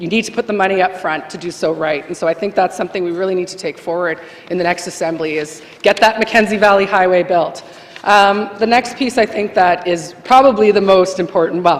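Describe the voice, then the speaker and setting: Medium-pitched female speech at a fairly quick clip, ordinary in its pitch variation, over noticeable background noise. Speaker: legislative assembly member. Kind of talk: farewell speech in legislature. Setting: legislative chamber. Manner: fast.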